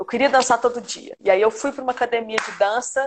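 A normal speaking voice from a woman, pitch varying in an ordinary way. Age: 30s. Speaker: dance teacher. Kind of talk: casual interview. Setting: live stream video call.

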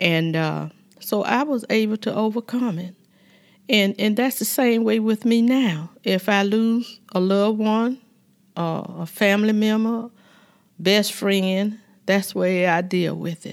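A woman speaks at a fairly slow pace in a Southern US accent. Her pitch is medium, with ordinary variation. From US South, Georgia. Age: 70s. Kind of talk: casual chat, interview.

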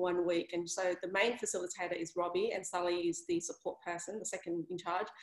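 Speaking at a medium pitch, a woman has an Australian accent. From Sydney, Australia (Vietnamese family). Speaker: career coach. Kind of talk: casual interview. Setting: video call.

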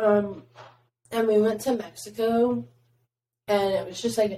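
A woman is speaking. Her pace is very slow. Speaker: podcast host. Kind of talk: casual chat.

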